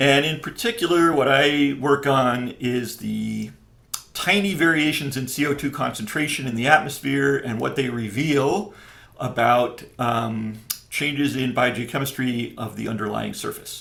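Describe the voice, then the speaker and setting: A man with an American accent talks at a fairly slow pace in a medium pitch with ordinary variation. Noticeable background noise and audible room echo come through. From upstate New York. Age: 60s. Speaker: professor. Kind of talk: interview. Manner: hesitant, many fillers.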